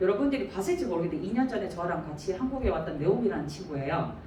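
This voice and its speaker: Her pitch swinging very widely, a woman speaks through noticeable background noise and audible room echo. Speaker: church deacon sharing mission experience. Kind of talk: testimony. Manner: fast.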